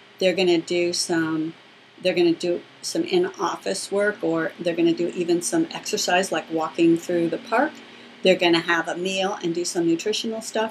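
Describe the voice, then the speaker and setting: Noticeable background noise runs behind a woman's voice. She speaks at a moderate pace with fairly even intonation. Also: fairly low pitch for a woman. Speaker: business coach for therapists. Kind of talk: webinar teaching.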